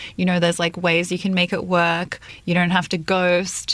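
A woman with an Australian accent, her pitch fairly low and her pace fairly quick. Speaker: editorial director and co-host. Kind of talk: casual chat.

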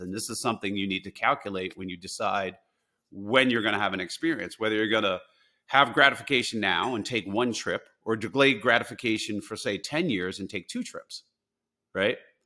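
With an American accent, a man talks at a fairly quick pace in a fairly low pitch, his tone bright and sharp, his pitch varying in an ordinary way, on a very clean recording with a silent background. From US Northeast, New Jersey. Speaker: poker player and investor, author. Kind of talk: interview. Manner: halting, many repeated words.

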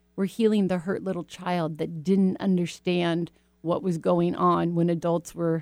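A woman with an American accent speaks in a flat monotone at a moderate pace, her fairly low pitch carrying a dark, mellow tone. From US Pacific Northwest, Washington State. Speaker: radio host and spiritual coach. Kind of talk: casual talk radio chat.

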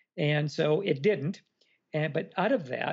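A man's normal speaking voice, fairly high-pitched, with ordinary pitch variation at a moderate pace. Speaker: motivational speaker. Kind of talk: casual chat.

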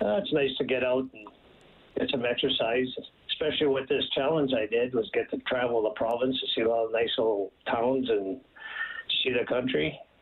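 A man's medium-pitched voice at a moderate pace, ordinary pitch variation, noticeable background noise behind him. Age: 70s. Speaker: amateur golfer. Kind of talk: radio interview.

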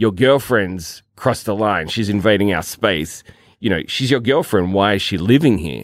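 Over a silent background in a very clean recording, a man with an Australian accent speaks at a moderate pace, his fairly low voice carrying lively intonation. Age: 40s. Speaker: podcast co-host, film and TV worker. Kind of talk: casual chat.

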